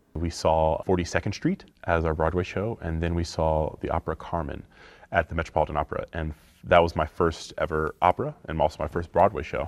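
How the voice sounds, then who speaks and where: Over a quiet background, a man with an American accent talks at a fairly quick pace in a very deep, low voice with monotone, flat intonation. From US South. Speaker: opera singer. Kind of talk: interview testimony.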